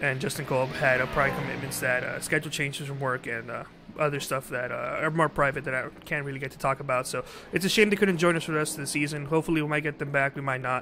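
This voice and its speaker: Over noticeable background noise, a man with a fairly high pitch talks at a very fast pace with fairly even intonation. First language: not English. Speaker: sim racing commentator. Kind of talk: live commentary. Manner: halting.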